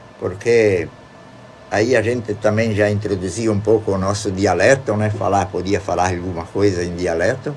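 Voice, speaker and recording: Fairly even intonation from a man with a fairly low voice, moderate pace, noticeable background noise behind him. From Rodeio, Santa Catarina, southern Brazil. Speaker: retired teacher and local author. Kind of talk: radio interview. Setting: radio studio.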